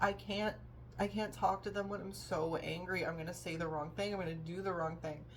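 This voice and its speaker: A woman's fairly low voice with vocal fry, fairly even intonation and a fairly quick pace, plus audible room echo. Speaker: vlogger. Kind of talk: personal vlog monologue. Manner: halting, many fillers.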